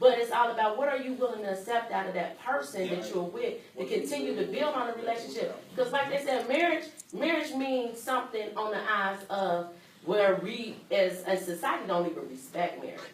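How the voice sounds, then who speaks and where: Loud speech with very wide pitch swings comes at a fairly quick pace, with audible room echo and noticeable background noise. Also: woman, fairly high pitch for a woman. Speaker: panelist on a talk show. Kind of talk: casual chat.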